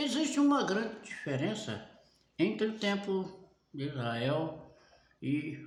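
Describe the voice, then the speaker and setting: In a room with audible echo, a man talks at a very slow pace in a fairly high-pitched voice. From Brazil. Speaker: preacher. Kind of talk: sermon.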